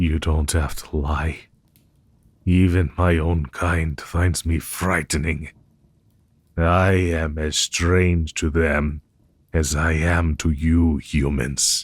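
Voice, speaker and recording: A man's put-on character voice, very deep and low, at a very slow pace with long, frequent pauses. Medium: audio drama. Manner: formal, measured.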